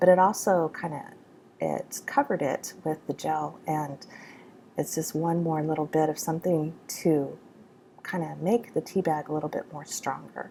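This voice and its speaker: Soft-spoken and dark, mellow in tone, a woman with a very deep, low pitch talks at a moderate pace with fairly even intonation. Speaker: art journaling video maker. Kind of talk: voiceover tutorial. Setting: home art studio. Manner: hesitant, filler-heavy.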